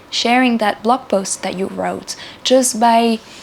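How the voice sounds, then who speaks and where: Woman with a non-native accent, fairly slow pace and ordinary pitch variation. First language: not English. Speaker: spiritual channel host. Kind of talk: spiritual talk to camera. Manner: halting, with repeated words.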